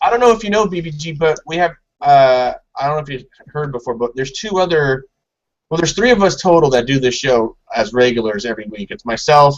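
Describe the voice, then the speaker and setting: A man with an American accent, fairly high-pitched, talking at a fairly quick pace with very wide pitch swings. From Southern California. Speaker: podcast host. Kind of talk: casual chat.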